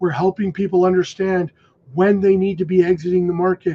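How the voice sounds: Speaking at a fairly quick pace, a man with a high pitch and a slightly husky edge shows little pitch movement.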